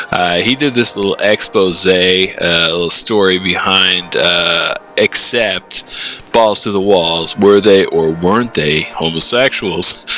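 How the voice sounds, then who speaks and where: Over music in the background, a man speaks very slowly with hardly any pauses. His pitch is very deep and low, with ordinary variation. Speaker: zine maker and metal record collector. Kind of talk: casual show-and-tell monologue. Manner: animated.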